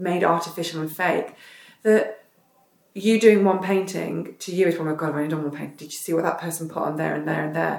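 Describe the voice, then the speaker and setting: A woman speaks in a fairly low pitch with an English accent. Her pitch varies in an ordinary way. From northern England, south Derbyshire. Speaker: retired professional basketball player. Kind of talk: casual chat. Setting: at host's home, sitting on the floor.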